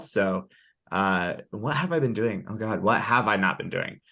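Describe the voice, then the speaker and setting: Loud and bright, a man's sharp tone comes through. His pitch is fairly low, over a quiet background. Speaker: director of sales enablement, community co-founder. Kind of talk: podcast interview. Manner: loud and boisterous.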